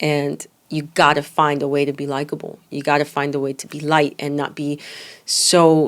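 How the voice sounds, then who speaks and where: A woman is talking. She has a very deep, low pitch. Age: 30s. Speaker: podcast host and business coach. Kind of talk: motivational talk.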